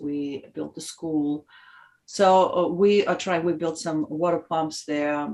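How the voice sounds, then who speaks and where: A woman with a very deep, low voice talks at a fairly slow pace. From Uzbekistan. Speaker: OBGYN physician. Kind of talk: interview answer.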